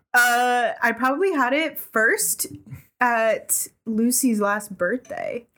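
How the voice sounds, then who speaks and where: A woman's high-pitched voice at a very slow pace, with lively intonation and very even loudness, over music in the background. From New England. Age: 20s. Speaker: podcast guest. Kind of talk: casual chat.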